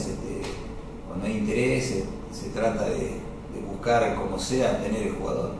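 A man talks in a space with strong room echo. Noticeable background noise runs behind him. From Salta, northwestern Argentina. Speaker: footballer. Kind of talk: interview. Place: office.

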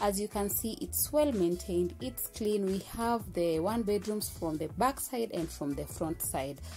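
Faint music can be heard behind the speaker. She is a woman talking at a fairly slow pace. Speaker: vlogger giving apartment tour. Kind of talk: casual vlog chat. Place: empty room. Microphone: phone near.

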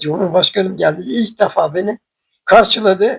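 A high-pitched male voice, dry and close with no echo. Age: 80s+. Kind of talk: interview answer.

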